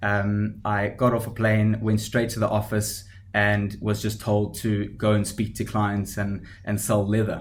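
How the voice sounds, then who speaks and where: A man with a South African accent speaks at a fairly slow pace in a fairly low, monotone, flat voice, with hardly any pauses. Audible room echo surrounds him. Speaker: startup founder. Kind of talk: podcast interview. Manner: hesitant with fillers.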